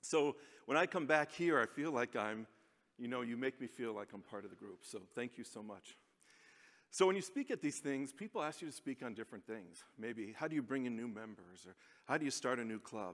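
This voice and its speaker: This man has a medium pitch and lively intonation. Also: fairly quick pace. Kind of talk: conference speech. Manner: fast.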